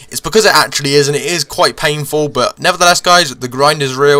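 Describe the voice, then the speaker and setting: Fairly high in pitch, a man talks at a fairly quick pace in a bright, sharp tone. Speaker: gaming youtuber. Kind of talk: gameplay commentary. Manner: casual.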